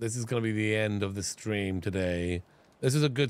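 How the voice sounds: Ordinary pitch variation in a natural voice reading aloud.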